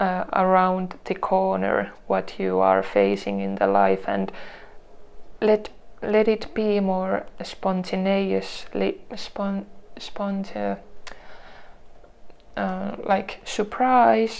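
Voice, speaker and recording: The speaker has a non-native accent and talks at a very slow pace. Long, frequent pauses break up the speech. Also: woman. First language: not English. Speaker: tarot reader. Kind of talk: tarot reading to camera. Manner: halting, many restarts and fillers.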